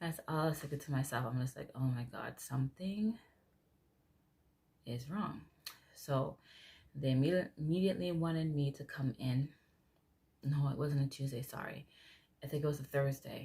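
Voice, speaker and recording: Soft-spoken, somewhat breathy delivery at a moderate pace, with long, frequent pauses and ordinary pitch variation. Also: woman. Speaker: vlogger. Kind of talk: casual vlog talk.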